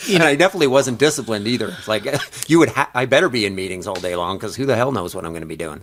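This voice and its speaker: Over noticeable background noise, a man at medium pitch talks very fast, with big swings in loudness and very wide pitch swings. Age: 50s. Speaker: business advisor and podcaster. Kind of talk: casual chat.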